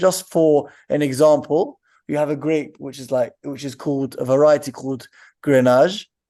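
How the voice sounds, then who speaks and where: A man with a London accent, fairly high in pitch and dark and mellow in tone, at a moderate pace against a quiet background. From London, England. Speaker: winery co-owner. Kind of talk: interview answers.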